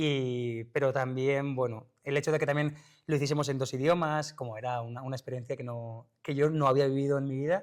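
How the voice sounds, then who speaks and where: A man's fairly high voice at a fairly quick pace, with fairly even intonation. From Basque Country. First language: Basque (speaking Spanish). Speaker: actor. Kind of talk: interview. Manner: halting.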